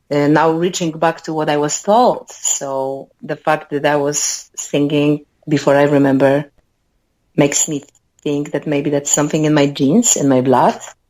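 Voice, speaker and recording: Spoken at a moderate pace with ordinary pitch variation, the voice carries a Polish accent. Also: woman, very deep, low pitch for a woman. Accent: Polish accent, noticeable but clear. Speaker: musician. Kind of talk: interview. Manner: talkative.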